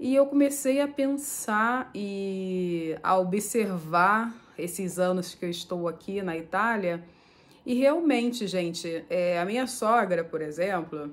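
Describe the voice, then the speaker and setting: A woman at medium pitch talks at a very slow pace with lively intonation. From Brazil, Nova Iguaçu (Rio de Janeiro state). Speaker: vlogger. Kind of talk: casual vlog talk to camera.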